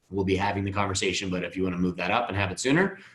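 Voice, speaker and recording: This man talks at a very fast pace, his fairly low voice carrying a bright, sharp tone. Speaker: financial advisor. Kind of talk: webinar presentation with Q&A. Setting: online webinar.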